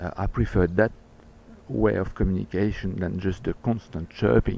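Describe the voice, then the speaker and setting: A man with a French accent speaks at a very deep, low pitch with vocal fry, a dark, mellow tone and lively intonation. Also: moderate pace. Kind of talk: personal video message. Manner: halting.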